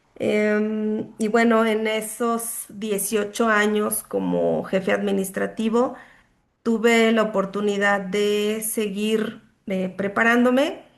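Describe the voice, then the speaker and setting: A woman's fairly high voice, monotone and flat, at a very slow pace. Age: 40s. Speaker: student and accountant. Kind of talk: self-introduction in online class. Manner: halting, many fillers.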